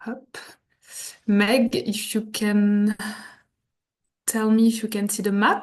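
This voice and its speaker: Speaking very slowly in a French accent, a woman uses a fairly high pitch, a somewhat breathy delivery and monotone, flat intonation, broken by long, frequent pauses. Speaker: hotel representative. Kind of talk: presentation. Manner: halting.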